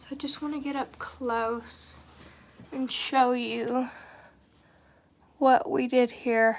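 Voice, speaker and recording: A high-pitched woman with monotone, flat intonation. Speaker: beauty vlogger. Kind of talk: makeup tutorial talk to camera. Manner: less chipper than usual.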